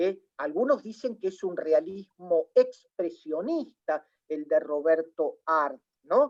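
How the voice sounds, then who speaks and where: Dry and close with no echo, a woman's fairly low voice moves at a very slow pace through very wide pitch swings. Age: 60s. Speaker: literary scholar. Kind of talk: panel discussion. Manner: halting, many fillers.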